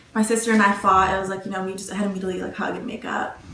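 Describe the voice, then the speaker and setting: A woman's monotone, flat intonation is heard against noticeable background noise. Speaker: college student interviewee. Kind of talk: interview answers. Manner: soft-spoken.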